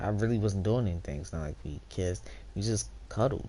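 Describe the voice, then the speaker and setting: A woman speaks at a fairly quick pace in a very deep, low pitch with vocal fry. Her tone is dark and mellow, and there is audible room echo. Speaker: streamer. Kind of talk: casual storytelling to stream chat.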